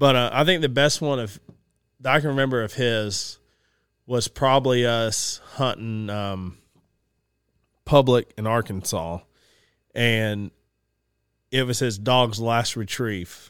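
A man with a Southern US accent at a fairly slow pace, long and frequent pauses, very clean recording against a silent background. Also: medium pitch for a man, ordinary pitch variation. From Georgia, US. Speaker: outdoors business owner and hunter. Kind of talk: casual chat. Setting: studio.

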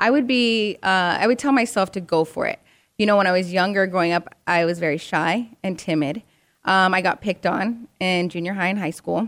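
A woman at a medium pitch and moderate pace, an ordinary speaking voice with ordinary pitch variation, on a very clean recording with a silent background. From Arizona, US. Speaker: television host. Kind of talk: casual chat.

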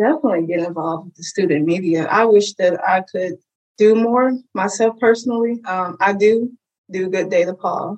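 In an unremarkable speaking voice, a woman with an American accent and medium pitch talks at a moderate pace, with ordinary pitch variation and big swings in loudness. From Chicago, west side. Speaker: journalism graduate student. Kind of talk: interview.

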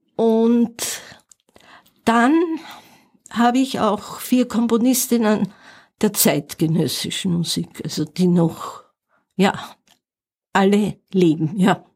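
The somewhat breathy voice moves at a very slow pace with long, frequent pauses, very even loudness, and ordinary pitch variation. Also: woman, fairly high pitch for a woman. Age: 70s. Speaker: pianist and music teacher. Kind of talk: interview. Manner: halting.

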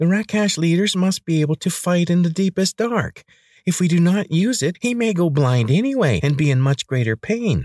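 A man puts on a nasal, high-pitched character voice, speaking at a moderate pace with lively intonation.

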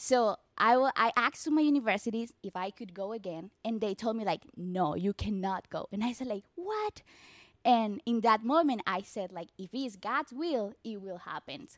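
At a moderate pace, a woman in a Colombian accent speaks with fairly high pitch, lively intonation and big swings in loudness, in a dry, close sound with no echo. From Colombia, Barranquilla. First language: Spanish. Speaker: church member sharing testimony. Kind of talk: testimony.

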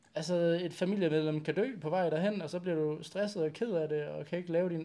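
His tone is dark and mellow. The man talks at a fairly quick pace. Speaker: bodybuilding podcast host, chiropractor. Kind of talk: casual chat. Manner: volume may be uneven.

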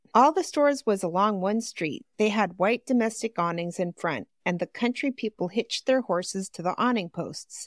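A woman with an unremarkable speaking voice talks at medium pitch and a moderate pace, with lively intonation and hardly any pauses, on a very clean recording with a silent background. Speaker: podcast host and reader. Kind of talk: reading aloud with casual banter.

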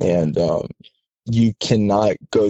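A man with an American accent speaks at a fairly low pitch. He has a plain, everyday voice with ordinary pitch variation. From US, Southern California. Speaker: army officer. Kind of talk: casual interview. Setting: phone call.

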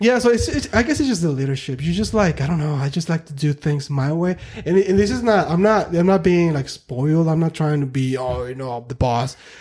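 A fairly quick pace against noticeable background noise. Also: man, fairly high pitch for a man, hardly any pauses. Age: 30s. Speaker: painter and father. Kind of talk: casual chat. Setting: studio.

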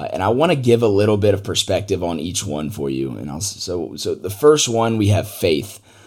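Talking at a fairly quick pace with hardly any pauses, a man with an American accent uses a fairly low pitch with vocal fry and very wide pitch swings. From US South, Atlanta, Georgia. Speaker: podcast host. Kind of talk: solo podcast monologue.

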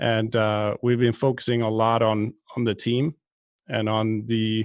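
A man at a medium pitch talks with a Swedish accent. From Sweden, outside Stockholm. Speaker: golf fitness director, podcast co-host. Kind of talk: casual chat.

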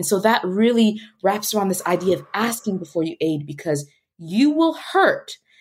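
Somewhat breathy woman's voice in an American accent, with very wide pitch swings and a moderate pace. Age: 30s. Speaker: nonprofit founder and educator. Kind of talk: interview.

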